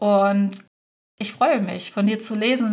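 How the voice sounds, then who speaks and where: Speaking at a moderate pace, a woman sounds somewhat breathy. Her intonation stays fairly even. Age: 30s. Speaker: podcast host and business mentor for virtual assistants. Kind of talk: solo podcast monologue.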